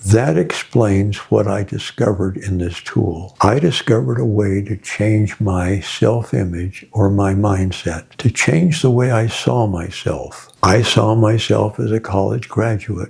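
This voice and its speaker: Over noticeable background noise, a man speaks at a fairly slow pace with hardly any pauses. His pitch is fairly low, with ordinary pitch variation. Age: 80s+. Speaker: author and success speaker. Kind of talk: interview talk.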